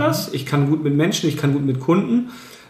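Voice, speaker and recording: This man's voice sits at a fairly high pitch. The room echo is audible. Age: 30s. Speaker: real estate agent. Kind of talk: interview. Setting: his own premises.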